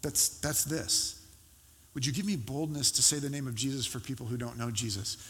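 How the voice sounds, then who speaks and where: The delivery moves at a fairly quick pace. The voice is somewhat breathy. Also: man. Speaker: pastor. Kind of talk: sermon; fervent prayer. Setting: church. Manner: earnest, pleading, heartfelt.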